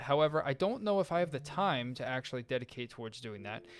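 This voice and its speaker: A man is speaking. Music plays in the background. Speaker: gaming YouTuber. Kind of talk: casual gameplay commentary. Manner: rambling, halting.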